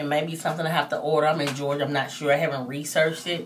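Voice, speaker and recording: Audible room echo surrounds a woman as she speaks. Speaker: hair vlogger. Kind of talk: tutorial. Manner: trying to speak loudly; casual, hesitant with fillers.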